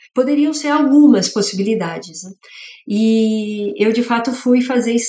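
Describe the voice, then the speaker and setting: A woman speaks at a fairly slow pace in a fairly high voice. Her tone is dark, mellow and somewhat breathy, with ordinary pitch variation. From São Paulo city, east zone. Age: 40s. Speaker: master brewer and beer educator. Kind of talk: interview.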